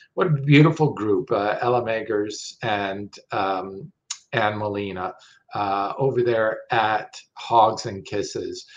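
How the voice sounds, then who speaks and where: A very slow, somewhat breathy male voice with ordinary pitch variation. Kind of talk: promotional talk to camera. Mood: warm, upbeat. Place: home room. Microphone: webcam.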